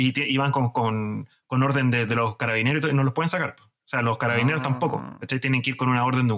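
This man has an unremarkable speaking voice, medium in pitch, moving at a fairly quick pace with hardly any pauses and fairly even intonation. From Chile. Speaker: podcast host. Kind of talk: casual chat.

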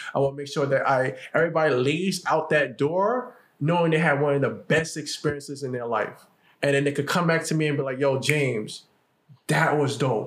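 This man talks at a fairly quick pace with a fairly high pitch. His pitch varies in an ordinary way, and his voice is somewhat breathy. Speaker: podcast host. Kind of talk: casual chat. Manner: fast when passionate.

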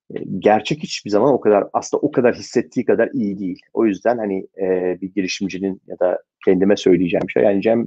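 A man's fairly low-pitched voice, fairly quick, with ordinary pitch variation. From Turkey, Istanbul. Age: 40s. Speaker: venture capital investor. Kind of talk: interview. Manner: frequent filler hesitations.

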